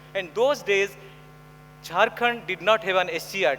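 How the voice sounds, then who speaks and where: A raised, projected voice at a moderate pace with ordinary pitch variation amid noticeable background noise. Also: man. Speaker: education specialist, conference speaker. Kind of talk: conference talk. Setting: stage with audience.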